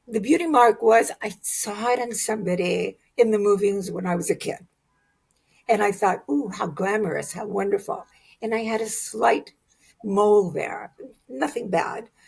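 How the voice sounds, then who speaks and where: With vocal fry and lively intonation, a woman speaks at a fairly slow pace. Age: 70s. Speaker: artist, model and actress. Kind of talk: interview.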